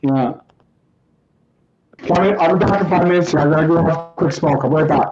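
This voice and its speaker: With music in the background, a high-pitched man speaks at a fairly quick pace with very even loudness and long, frequent pauses. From Alberta, Canada. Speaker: live streamer. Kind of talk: casual chat. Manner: halting, repeats words. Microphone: poor quality mic.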